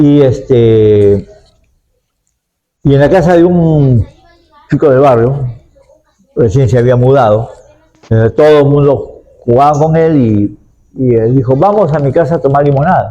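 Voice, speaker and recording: A man with a dark, mellow tone and fairly high pitch, speaking fairly slowly with ordinary pitch variation, very even loudness and long, frequent pauses. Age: 70s. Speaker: university professor interviewed as expert. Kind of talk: interview answers; closing remarks. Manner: hesitant, with fillers and repetitions.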